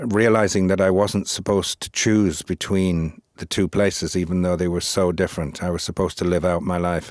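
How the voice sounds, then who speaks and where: A man speaks in a very deep, low voice with a flat, monotone delivery, moving at a fairly quick pace with hardly any pauses. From northern England (West Yorkshire), Irish mother. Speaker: poet and philosopher. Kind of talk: interview.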